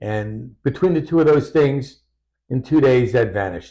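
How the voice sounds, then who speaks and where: Over a quiet background, a man with a medium pitch talks at a moderate pace in a dark, mellow, somewhat breathy tone with lively intonation. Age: 70s. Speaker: doctor and patient sharing testimony. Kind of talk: interview testimony.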